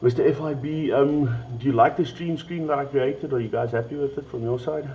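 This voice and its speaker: A man speaks at a fairly quick pace with a South African accent. His intonation stays fairly even, and there is noticeable background noise. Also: fairly high pitch for a man. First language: Afrikaans. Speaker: esports stream host. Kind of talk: livestream chat. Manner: halting.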